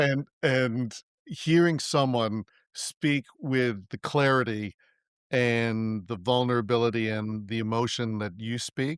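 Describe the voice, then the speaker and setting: An ordinary speaking voice moves at a fairly slow pace with fairly even intonation. The recording is very clean with a silent background and a dry, close sound with no echo. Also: man. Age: 60s. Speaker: podcast host. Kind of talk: podcast interview. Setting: audio podcast recording.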